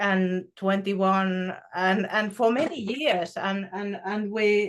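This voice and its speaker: Someone speaks at a very slow pace with a Finnish accent. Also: woman. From Finland. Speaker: spiritual show co-host. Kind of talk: casual spiritual conversation. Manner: halting, many fillers.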